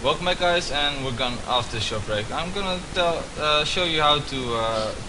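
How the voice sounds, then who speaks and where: A man with a Dutch accent, lively intonation and a moderate pace, amid noticeable background noise and audible room echo. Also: fairly high pitch for a man. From Netherlands. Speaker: student. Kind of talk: tutorial. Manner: hesitant, many fillers.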